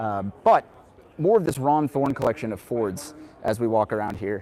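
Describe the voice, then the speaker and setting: A man at medium pitch, speaking at a fairly quick pace. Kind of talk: casual live stream walkthrough. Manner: chatty, enthusiastic.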